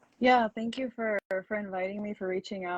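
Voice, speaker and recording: In a Minnesota accent, a woman talks at a very fast pace and medium pitch with fairly even intonation, the sound dry and close with no echo. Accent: Minnesota American English. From US Midwest. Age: 20s. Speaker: attorney. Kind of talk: interview.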